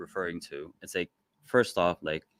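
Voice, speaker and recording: Recorded dry and close with no echo, a man speaks in a very deep, low pitch. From Philippines. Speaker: real estate investor. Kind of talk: podcast interview. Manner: hesitant, many fillers.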